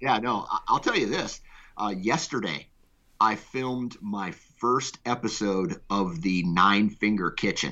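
With an American accent and a normal speaking voice, a man talks at a fairly slow pace and fairly low pitch, showing ordinary pitch variation. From Iowa, US Midwest. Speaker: podcast network founder. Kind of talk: casual chat.

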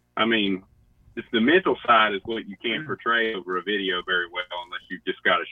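A man talks very fast in a strong Southern US accent. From West Virginia (Boone County). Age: young. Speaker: hunter. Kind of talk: casual chat.

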